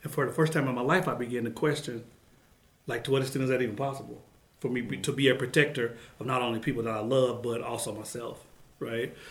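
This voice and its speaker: Very fast, somewhat breathy speech with an American accent and fairly even intonation. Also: man, medium pitch for a man. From Oklahoma City, Oklahoma. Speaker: professor and author. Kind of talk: interview conversation. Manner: expressive inflection.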